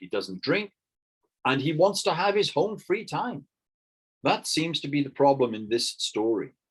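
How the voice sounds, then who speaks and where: With a British accent, the speaker's pitch swings very widely. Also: man. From Britain. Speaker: English teacher. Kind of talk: online lesson.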